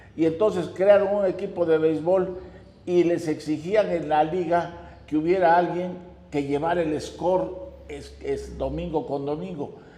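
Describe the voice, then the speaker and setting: A man's high voice at a fairly slow pace, with fairly even intonation and audible room echo. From Mexico, Oaxaca city. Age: 90s. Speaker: notary and amateur baseball player. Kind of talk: interview, personal reminiscence.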